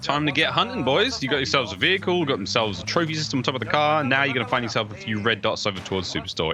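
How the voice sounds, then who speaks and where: With a British accent, a man talks in an animated tone with very wide pitch swings. Noticeable background noise runs underneath. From Britain. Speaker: esports commentator. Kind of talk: live commentary.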